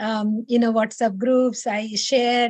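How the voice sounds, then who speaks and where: A woman speaks with an Odisha accent. The background is quiet, and the sound is dry and close, with no echo. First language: Odia. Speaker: meditation session leader. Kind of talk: personal testimony. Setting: video call. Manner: hesitant, many fillers.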